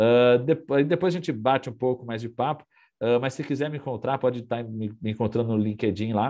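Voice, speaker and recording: The man has a medium pitch with ordinary pitch variation. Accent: rural São Paulo. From interior of São Paulo state, Brazil. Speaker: NFT company CEO, workshop speaker. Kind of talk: presentation. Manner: casual, many fillers.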